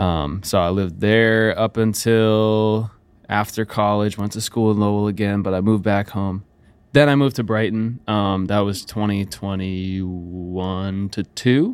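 A man with an ordinary speaking voice talks fairly slowly at a fairly low pitch with fairly even intonation, in a very clean recording with a silent background. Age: 20s. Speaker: musician and producer. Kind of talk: casual interview. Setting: studio.

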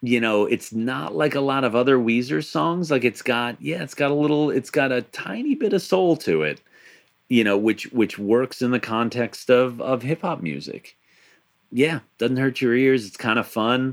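Speaking at a moderate pace with lively intonation, a man with an American accent has a medium pitch, recorded very cleanly against a silent background. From Long Island, New York. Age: 30s. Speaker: podcast host. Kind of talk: casual chat.

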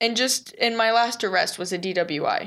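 A woman with an American accent talks at a moderate pace in a plain, everyday voice with ordinary pitch variation, on a very clean recording with a silent background. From Texas. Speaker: business owner in addiction recovery. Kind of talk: interview.

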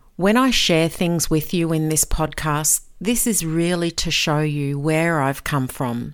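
A woman's very deep, low voice at a very slow pace, on a very clean recording with a silent background. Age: 50s. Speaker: podcast host, author and life mentor. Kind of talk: personal storytelling monologue.

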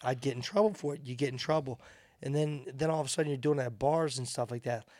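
A man speaks with fairly high pitch in a normal speaking voice. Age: 40s. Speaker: bare-knuckle boxer. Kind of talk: casual chat.

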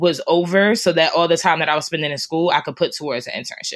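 A woman at medium pitch with ordinary pitch variation and a fairly quick pace, on a very clean recording with a silent background. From New Jersey (Newark and Irvington). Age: 20s. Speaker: freelance writer. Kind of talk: casual chat.

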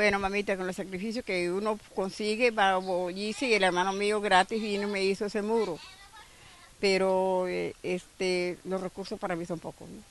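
A woman at a medium pitch speaks at a moderate pace in a monotone, flat intonation, with big swings in loudness. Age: 80s. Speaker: flood-affected resident. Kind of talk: street interview.

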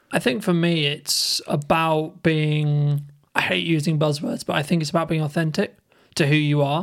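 A man with an ordinary speaking voice, fairly high in pitch, at a moderate pace with ordinary pitch variation. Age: 20s. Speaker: content creator and podcaster. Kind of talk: casual chat.

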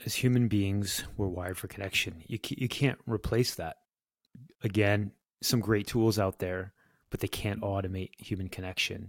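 A man with a fairly low pitch speaks at a moderate pace, his intonation fairly even. The sound is dry and close, with no echo. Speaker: tech startup founder. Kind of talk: casual interview conversation. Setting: video call. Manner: calm, relaxed.

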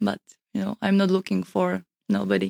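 A woman with a Slovak accent speaks at a fairly slow pace, in a dry, close sound with no echo. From Slovakia. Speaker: model and content creator. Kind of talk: casual chat. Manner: halting.

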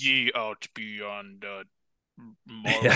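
In a put-on character voice, a man booms out his lines at a fairly low pitch. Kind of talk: old-timey English.

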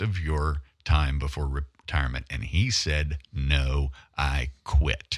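This man has a Southern US accent and a bright, sharp tone, heard in a very clean recording with a silent background. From US South, northern Louisiana. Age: 60s. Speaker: investigative photojournalist. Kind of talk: talk radio interview. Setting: studio.

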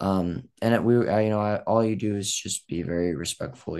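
An American-accented man at a fairly quick pace, quiet background. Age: young. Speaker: grandson and family caregiver. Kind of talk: personal testimony.

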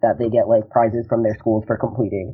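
This is a man speaking. He has an American accent. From New Jersey. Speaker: college student. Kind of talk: interview.

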